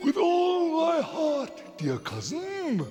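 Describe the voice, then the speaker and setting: A man's put-on character voice over clear background noise. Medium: read story. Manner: formal, archaic.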